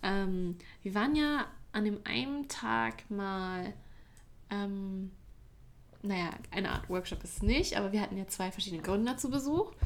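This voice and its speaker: A medium-pitched woman's voice, fairly slow and lively in intonation, with long, frequent pauses. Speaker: university student. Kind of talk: casual chat. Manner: occasional slips, more used to English.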